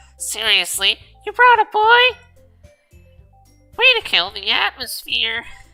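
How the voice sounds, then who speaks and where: Over music in the background, a put-on character voice comes through nasal and at a fairly slow pace. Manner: snippy, sarcastic.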